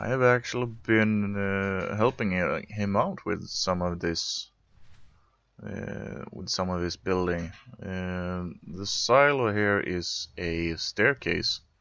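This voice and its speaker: At a very slow pace, a man speaks with a Swedish accent. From Sweden. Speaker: video game streamer. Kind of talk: casual gameplay commentary. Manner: animated, chatty.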